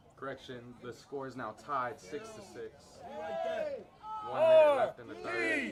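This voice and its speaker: A man at a fairly slow pace with long, frequent pauses, audible room echo and noticeable background noise. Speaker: student sports commentator. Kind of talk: live commentary. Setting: stadium. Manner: animated.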